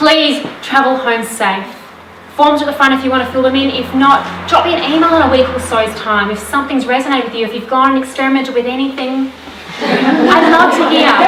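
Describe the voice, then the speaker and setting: Loud and at a fairly quick pace, a woman talks in a high pitch over noticeable background noise, with audible room echo. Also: fairly even intonation. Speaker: women's wellness coach. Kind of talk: live talk to audience. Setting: stage with audience. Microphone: no microphone.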